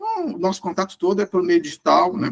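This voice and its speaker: Speaking at a fairly quick pace, a man lets his pitch swing very widely. The sound is dry and close, with no echo. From Brazil. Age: 60s. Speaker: former corporate executive. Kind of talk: podcast interview. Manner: halting.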